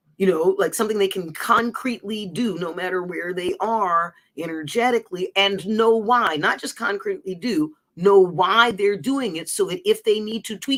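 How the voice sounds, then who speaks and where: A woman talks at a medium pitch and a moderate pace. Her pitch varies in an ordinary way. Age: 60s. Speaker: livestream host and personal coach. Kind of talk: casual livestream monologue. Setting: live stream. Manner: animated, rambling with self-corrections.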